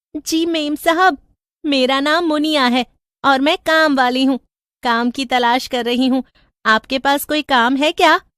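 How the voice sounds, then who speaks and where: At a moderate pace, a female-sounding, cartoonish character voice speaks at a high pitch. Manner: deferential, calls her mistress madam.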